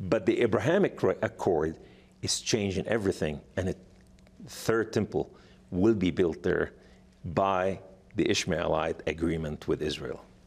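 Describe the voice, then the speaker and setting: A man with a non-native accent talks at a fairly slow pace. He takes long, frequent pauses. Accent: foreign. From Lebanon. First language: Arabic. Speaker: author and evangelist, former jihadist. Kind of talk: talk show interview. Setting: studio.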